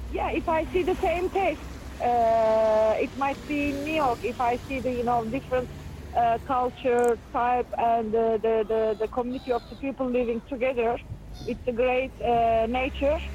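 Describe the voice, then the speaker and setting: A woman speaks at a fairly slow pace in a high pitch. Her pitch variation is ordinary and her loudness very even. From Ufa, Russia (Bashkortostan). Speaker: performance participant. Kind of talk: casual conversation while walking.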